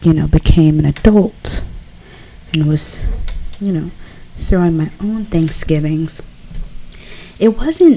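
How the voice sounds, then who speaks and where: Soft-spoken and very slow, a woman talks in a fairly low voice with ordinary pitch variation, leaving long, frequent pauses. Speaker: ASMR artist. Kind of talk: casual ASMR talk while drawing.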